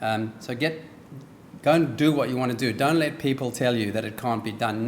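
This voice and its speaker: A man talks fairly quickly at a medium pitch with a slight South African accent. His intonation stays fairly even. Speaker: business executive, guest speaker. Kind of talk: speech. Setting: dinner event with audience. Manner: hesitant with frequent ums.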